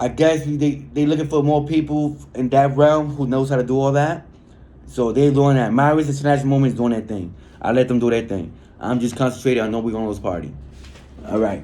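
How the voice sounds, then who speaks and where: Speech comes at a very fast pace with a dark, mellow tone and ordinary pitch variation. Audible room echo surrounds the voice. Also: man, medium pitch for a man. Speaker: political activist reading prisoner newsletters. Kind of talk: reading aloud with commentary.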